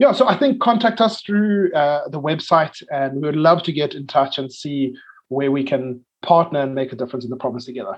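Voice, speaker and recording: With hardly any pauses, a man in a South African accent speaks at a fairly high pitch with lively intonation. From South Africa, Cape Town. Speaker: missionary, ministry leader. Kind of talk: interview. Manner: hesitant, many fillers.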